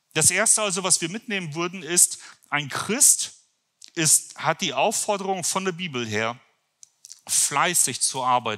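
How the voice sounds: A man's fairly high, bright, sharp voice at a fairly slow pace, with lively intonation.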